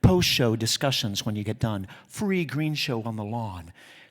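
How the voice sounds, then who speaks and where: An animated tone on a very clean recording with a silent background. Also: man. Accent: American. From Utah. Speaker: theatre festival executive. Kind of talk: award acceptance speech. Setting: stage with audience. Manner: fast.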